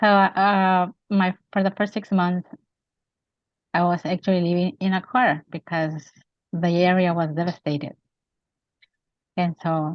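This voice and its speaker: A woman's fairly low voice with a Spanish accent, fairly slow pace and fairly even intonation. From Mexico. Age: 50s. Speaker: author and women's advocate. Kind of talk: interview.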